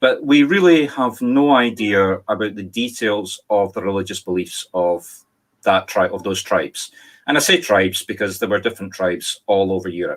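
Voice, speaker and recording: Speaking at a moderate pace, a man with a Scottish accent uses lively intonation. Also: fairly low pitch for a man. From Scotland. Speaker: spirit medium. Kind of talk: talk to online audience.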